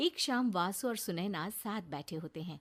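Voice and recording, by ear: A woman with a fairly low pitch speaks at a moderate pace with lively intonation.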